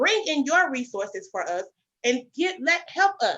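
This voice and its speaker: Raised and projected, a woman's high, bright, sharp voice swings very widely in pitch. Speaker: podcast host. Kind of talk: casual chat. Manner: loud; informal, non-standard speech.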